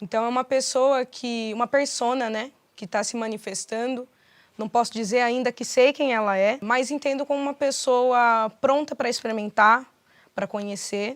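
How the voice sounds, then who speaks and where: A woman speaks at a high pitch and moderate pace with fairly even intonation, in a dry, close sound with no echo on a very clean recording with a silent background. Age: 20s. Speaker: rapper. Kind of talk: interview answers. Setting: studio.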